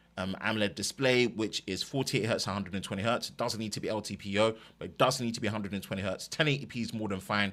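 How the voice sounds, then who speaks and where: A man with an East London accent at a very fast pace, hardly any pauses, fairly low pitch and fairly even intonation, on a very clean recording with a silent background. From East London, England. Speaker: tech YouTuber. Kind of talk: live stream chat.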